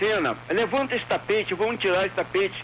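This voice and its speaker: This man speaks with ordinary pitch variation. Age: 60s. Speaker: radio caller. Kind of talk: call-in opinion. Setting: phone call.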